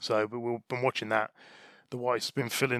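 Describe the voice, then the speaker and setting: A man speaks at a very fast pace in a medium pitch. His intonation is monotone and flat. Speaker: podcast host. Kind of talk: casual banter.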